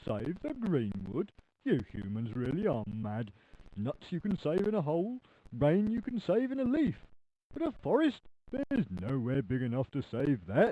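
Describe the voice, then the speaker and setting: A man puts on a cartoonish character voice. His pitch sits fairly high. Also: moderate pace. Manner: touchy, indignant, rambling.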